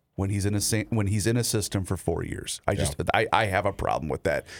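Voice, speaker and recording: A man's fairly low voice with an American accent, an unremarkable speaking voice with fairly even intonation, in a very clean recording with a silent background. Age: 30s. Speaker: sports radio host. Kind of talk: casual chat.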